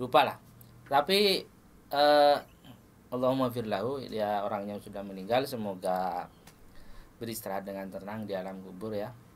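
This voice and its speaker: A man with a fairly low pitch talks at a moderate pace with ordinary pitch variation. He takes long, frequent pauses, and his loudness swings widely. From Madura, Indonesia. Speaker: podcast host, sitcom actor. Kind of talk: casual interview chat.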